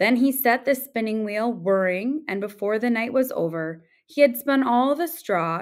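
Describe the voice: What you hear is simple reading out loud.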